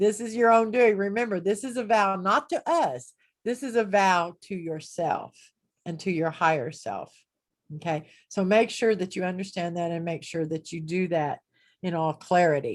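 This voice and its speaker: A woman's unremarkable speaking voice with lively intonation. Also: medium pitch for a woman, moderate pace, quiet background. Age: 60s. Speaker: spiritual teacher. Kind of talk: online group talk. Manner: casual, conversational with fillers.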